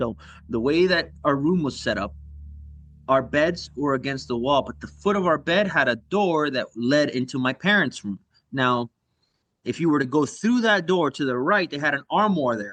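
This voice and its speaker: With a Spanish accent, a man speaks at a moderate pace in a fairly high pitch, his intonation lively. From US South, Cuban immigrant family. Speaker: podcast guest storyteller. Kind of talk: casual chat, telling a spooky story.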